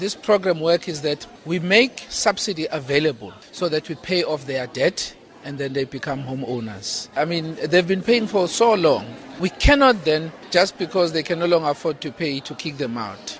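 A man speaks at a moderate pace in a fairly high voice with lively intonation. Noticeable background noise sits behind him. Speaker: provincial government minister. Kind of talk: news soundbite.

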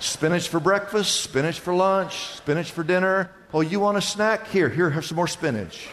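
With noticeable background noise behind him, a man with a high pitch and ordinary pitch variation talks at a moderate pace with hardly any pauses. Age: 60s. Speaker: pastor. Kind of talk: sermon.

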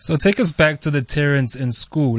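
In a plain, everyday voice, a man speaks at a moderate pace with fairly even intonation, the sound dry and close with no echo. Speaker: radio host. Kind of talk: radio interview.

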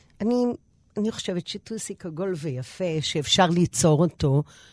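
A woman with a fairly low pitch and a dark, mellow tone talks at a very slow pace, her pitch swinging very widely. The sound is dry and close with no echo, over a quiet background. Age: 60s. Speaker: pilates instructor, former TV fitness presenter. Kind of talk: interview.

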